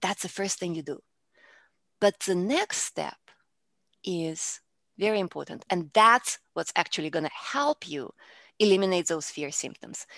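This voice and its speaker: With a Russian accent, a woman speaks at medium pitch and a fairly slow pace, leaving long, frequent pauses, in a dry, close sound with no echo. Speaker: public speaking coach. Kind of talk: interview.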